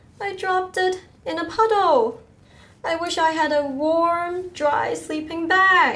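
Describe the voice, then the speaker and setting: A woman speaks in a put-on character voice with an extremely high pitch. Her pace is fairly slow. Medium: read story.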